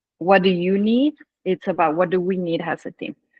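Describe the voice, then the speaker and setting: A medium-pitched woman's voice with a Spanish accent. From Mexico. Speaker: dive instructor and trip founder. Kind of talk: casual chat. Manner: halting.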